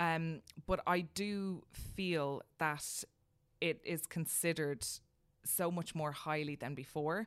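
In an Irish accent, a woman with a fairly low pitch speaks at a very slow pace with fairly even intonation, on a very clean recording with a silent background. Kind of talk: casual chat.

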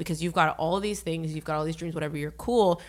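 In a very clean recording with a silent background, the voice has a bright, sharp tone, fairly even intonation and an American accent. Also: woman. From Northern Virginia, US. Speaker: radio DJ. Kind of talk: casual interview.

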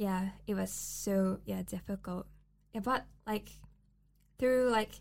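A woman talks at a very slow pace. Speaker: student podcast host. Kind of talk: casual chat.

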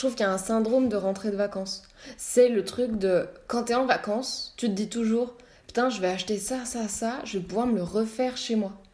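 A woman speaks at a moderate pace with fairly even intonation. There is noticeable background noise. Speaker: architecture student. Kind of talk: casual chat. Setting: at home.

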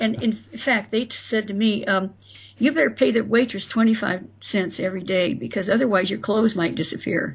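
A woman's medium-pitched voice with an American accent, vocal fry and a fairly quick pace. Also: ordinary pitch variation. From Florida and Indiana, US. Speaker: author. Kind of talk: interview storytelling.

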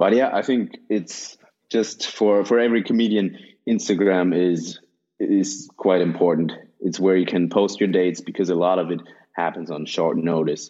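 Speaking with a European accent, a man has a very deep, low voice and a dark, mellow tone. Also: ordinary pitch variation, moderate pace, quiet background. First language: German. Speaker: stand-up comedian and actor. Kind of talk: casual chat.

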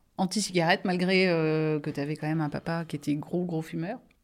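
A woman speaks in a plain, everyday voice at a fairly low pitch with fairly even intonation. The recording is very clean, with a silent background. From France, Angers. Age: 40s. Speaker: nurse. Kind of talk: casual chat.

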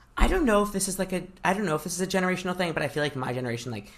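Noticeable background noise sits under this recording. A man with an American accent speaks with lively intonation. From Chicago suburbs, US Midwest. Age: 20s. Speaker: stand-up comedian. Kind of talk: casual interview chat.

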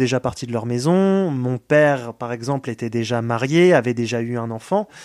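A man in a normal speaking voice talks at a fairly slow pace with ordinary pitch variation, the sound dry and close with no echo. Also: very clean recording, silent background. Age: 20s. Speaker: care home worker. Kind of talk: testimony.

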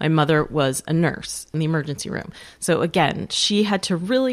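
A woman with an American accent and an ordinary speaking voice talks at a moderate pace, her pitch fairly low with ordinary variation. The recording is very clean, with a silent background. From Western New York. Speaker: author. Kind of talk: interview conversation.

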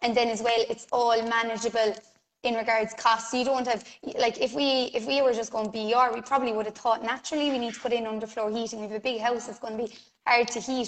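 A woman with an Irish accent talks very fast in a fairly high, monotone, flat voice. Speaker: self builder. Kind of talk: casual interview.

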